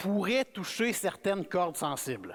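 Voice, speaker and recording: Speaking at a fairly slow pace, a man with a high pitch talks in a Quebec accent. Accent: Québécois French. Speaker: guest preacher. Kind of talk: sermon. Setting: church. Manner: casual, conversational.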